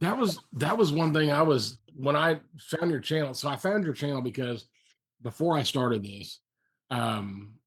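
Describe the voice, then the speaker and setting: A somewhat breathy man with a fairly high pitch talks at a moderate pace with lively intonation. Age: 50s. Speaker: fellow faster, video blogger. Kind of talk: casual chat.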